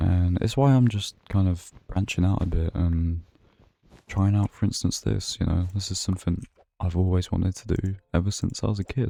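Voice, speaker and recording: A man with a British accent at a moderate pace, relaxed and calm, with a dark, mellow tone and fairly even intonation. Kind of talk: sleep-friendly gaming longplay narration. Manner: soft-spoken, relaxed, calm.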